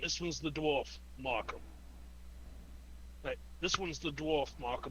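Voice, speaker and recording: Against loud background noise, a man uses a put-on character voice at a moderate pace. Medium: actual play. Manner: curt, authoritative.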